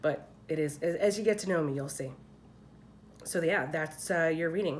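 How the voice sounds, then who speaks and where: A woman with an American accent speaks at a moderate pace and fairly low pitch, with ordinary pitch variation and audible room echo. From Philadelphia, US. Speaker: tarot card reader. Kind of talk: tarot reading. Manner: casual, chatty.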